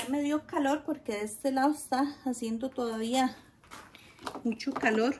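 A woman with a Costa Rican accent, high pitch and warm tone, fairly slow with long, frequent pauses, fairly even intonation and light background noise. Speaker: gardening vlogger. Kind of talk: casual tutorial vlog. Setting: outdoors in garden. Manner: chatty, warm. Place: garden.

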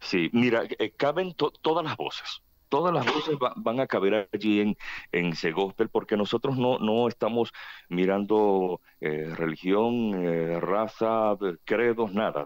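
With lively intonation and a fairly low pitch, a man talks at a fairly slow pace against a quiet background. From Venezuela, Barquisimeto; Venezuela. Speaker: choir association president. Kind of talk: radio interview. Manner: talkative; halting. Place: studio.

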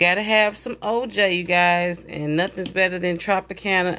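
At a moderate pace, a woman speaks with a fairly bright tone and a fairly low pitch.

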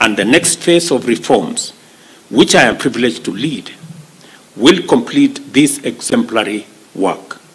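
A man's pitch rises and falls very widely as he talks at a fairly slow pace. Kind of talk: formal speech. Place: hall. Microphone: podium.

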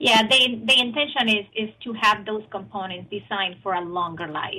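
Speaking at a moderate pace, a woman uses a medium pitch, fairly even intonation and a bright, sharp tone.

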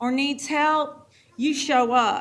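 A woman with an American accent, high in pitch, with ordinary pitch variation. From North Carolina mountains. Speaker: first grade teacher. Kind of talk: public comment speech. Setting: school board meeting.

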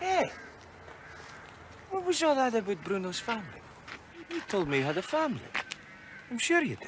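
A man's put-on character voice in an Italian accent, extremely high-pitched and fairly bright in tone, with very wide pitch swings, a moderate pace and faint background noise

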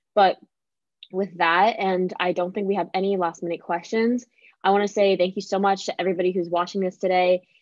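Delivered at a fairly quick pace in an American accent, the speech has monotone, flat intonation and a dry sound with no echo over a quiet background. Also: woman. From Pennsylvania. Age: 20s. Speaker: college student ambassador; student host of admissions Q&A. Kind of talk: live Q&A chat. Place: home room. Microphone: video call.

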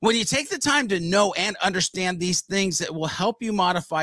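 A man speaks at a moderate pace with a high pitch, a fairly bright tone and lively intonation. The sound is dry and close, with no echo.

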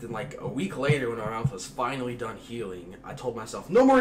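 A man's fairly quick delivery with ordinary pitch variation over noticeable background noise. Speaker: vlogger. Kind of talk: casual vlog chat. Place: kitchen. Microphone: camera far.

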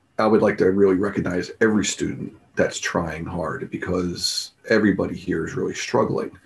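Somewhat breathy and fairly low in pitch, a man talks at a moderate pace with ordinary pitch variation. He leaves hardly any pauses. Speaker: math teacher. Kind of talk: tribute speech. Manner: halting. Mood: warm, encouraging. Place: home room. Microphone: webcam.

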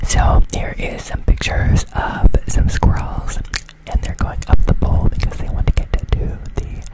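A soft-spoken man whispers at a fairly slow pace, his sound dry with no echo, against loud background noise. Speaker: ASMR creator. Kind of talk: soft ASMR talk to viewers. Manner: soft close-mic whisper. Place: home room. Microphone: studio mic.

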